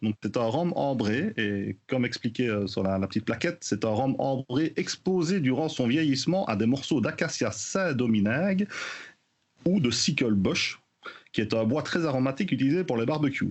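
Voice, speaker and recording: With a Belgian accent, a man speaks at a moderate pace with lively intonation. His loudness stays very even. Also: medium pitch for a man. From Belgium. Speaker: podcast co-host, rum news segment. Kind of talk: news roundup in casual podcast chat. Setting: remote from Belgium. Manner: hesitant with many fillers.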